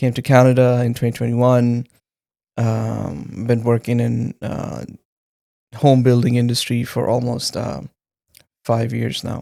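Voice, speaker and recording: Speaking in a Punjabi accent, a man uses a dark, mellow tone at a medium pitch with fairly even intonation, moving at a fairly slow pace with long, frequent pauses. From Pakistan. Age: 30s. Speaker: engineer, podcast guest. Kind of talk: interview testimony. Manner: hesitant, many fillers.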